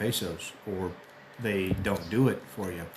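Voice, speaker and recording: A man with an American accent shows ordinary pitch variation. Noticeable background noise sits behind him. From US. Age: 60s. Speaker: expat vlogger. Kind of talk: casual monologue. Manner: hesitant, many fillers.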